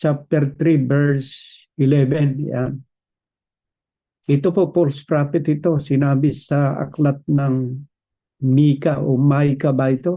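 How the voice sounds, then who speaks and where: At a very slow pace, a man with a fairly high pitch speaks in a flat monotone, somewhat breathy, his loudness very even. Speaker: preacher. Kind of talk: sermon.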